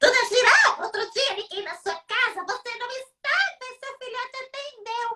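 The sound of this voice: This put-on character voice is extremely high, shrill and squeaky. It moves at a moderate pace with hardly any pauses.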